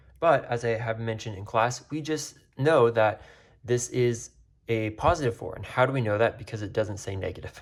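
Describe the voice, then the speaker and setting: A man with a medium pitch talks at a fairly quick pace, somewhat breathy. His pitch varies in an ordinary way, and his loudness swings widely. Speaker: math teacher. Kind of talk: tutorial. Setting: recorded video. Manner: fast.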